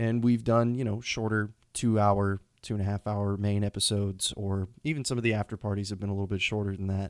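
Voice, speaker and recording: Speaking very fast in a monotone, flat delivery, a man with an American accent and fairly low pitch is heard in a dry, close sound with no echo on a very clean recording with a silent background. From Texas, Houston. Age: 20s. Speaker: podcast host. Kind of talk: unscripted solo monologue. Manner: casual with frequent fillers.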